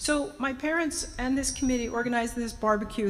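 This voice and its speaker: Music plays in the background as the speaker talks at a fairly quick pace with an American accent and ordinary pitch variation, with audible room echo. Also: woman. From New Jersey (Orange, Essex County). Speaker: speaker at a community event. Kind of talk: public remarks to an audience.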